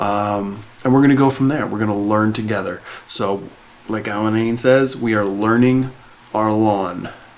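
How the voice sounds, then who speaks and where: A soft-spoken man's fairly low voice, fairly even in intonation, at a moderate pace, with audible room echo and noticeable background noise. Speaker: lawn care vlogger. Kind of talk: casual tutorial. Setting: indoors at home. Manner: soft-spoken, talking quietly; hesitant, many fillers.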